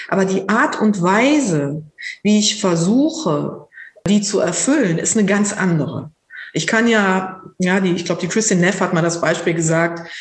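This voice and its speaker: A woman's unremarkable speaking voice at medium pitch, moderate in pace, with lively intonation and very even loudness. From Lower Rhine region, Germany. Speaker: psychotherapist and mindfulness teacher. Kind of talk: casual interview conversation.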